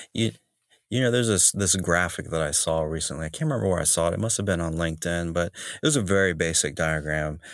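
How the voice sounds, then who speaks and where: In an American accent, a man speaks at a very fast pace, his pitch very deep and low with ordinary variation. The recording is very clean, with a silent background. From US South, North Carolina. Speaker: streetwear company founder. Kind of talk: casual interview.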